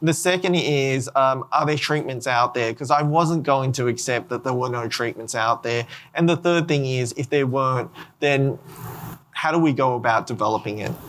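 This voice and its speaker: With an Australian accent, this voice shows ordinary pitch variation. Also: man, medium pitch for a man, moderate pace. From Australia, Sydney. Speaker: genetics researcher and rare disease patient. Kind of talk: panel discussion. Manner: halting.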